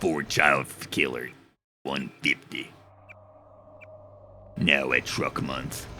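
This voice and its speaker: In a put-on character voice, a man speaks very slowly at a very deep, low pitch, gruff and raspy, with long, frequent pauses. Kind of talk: commercial pitch.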